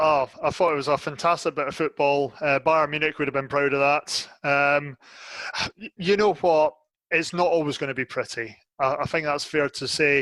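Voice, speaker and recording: At a moderate pace, the bright, sharp voice keeps fairly even intonation in a dry, close sound with no echo. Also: man, fairly high pitch for a man. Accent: Scottish. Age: 30s. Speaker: football fan pundit. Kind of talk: casual chat.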